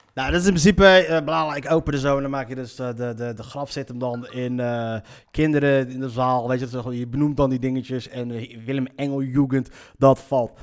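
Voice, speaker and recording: A man with a medium-pitched voice talks at a fairly quick clip in an energetic tone, his pitch moving in an ordinary way, on a very clean recording with a silent background. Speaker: podcast host and comedian. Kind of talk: casual monologue. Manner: halting, many fillers.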